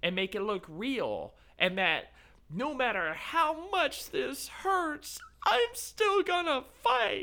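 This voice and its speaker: In a raised, projected voice of extremely high pitch, a man talks at a very slow pace with very wide pitch swings. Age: 30s. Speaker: amateur wrestler. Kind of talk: casual chat.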